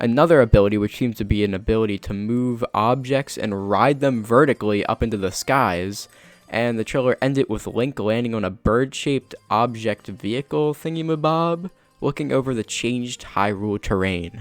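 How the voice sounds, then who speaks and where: A man's medium-pitched voice at a moderate pace, ordinary pitch variation, music in the background, and a dry, close sound with no echo. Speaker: gaming commentator. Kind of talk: video essay narration. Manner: stuttering, fumbling on words.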